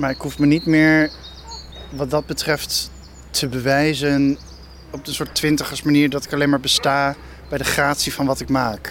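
A man with a fairly high pitch speaks in a monotone, flat way, with long, frequent pauses. Noticeable background noise runs under his voice. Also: moderate pace. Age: 30s. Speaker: film director. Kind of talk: casual interview on a walk. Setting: outdoors, walking. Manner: halting.

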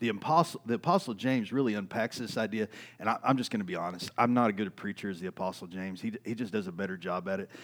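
With an East Texas accent, a man with a fairly low pitch and ordinary pitch variation talks at a very fast pace with hardly any pauses. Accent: East Texas Southern American. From US South, East Texas. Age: 40s. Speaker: pastor. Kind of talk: sermon.

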